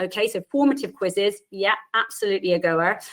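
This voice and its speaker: The speaker has an Irish accent and lively intonation. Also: woman. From Ireland. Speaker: university lecturer and physiotherapist. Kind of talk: webinar presentation. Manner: fast.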